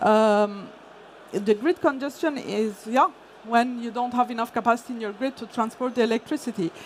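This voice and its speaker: This woman has a fairly high pitch and a non-native accent. She talks at a moderate pace with ordinary pitch variation. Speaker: energy industry consultant. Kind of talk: conference talk. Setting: stage with audience. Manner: hesitant, many fillers.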